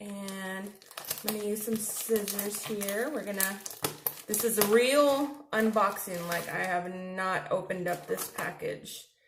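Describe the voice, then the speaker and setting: Noticeable background noise and audible room echo surround a woman speaking fairly slowly with fairly even intonation. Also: medium pitch for a woman. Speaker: face painter and video host. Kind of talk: product unboxing. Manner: restrained mouth movement.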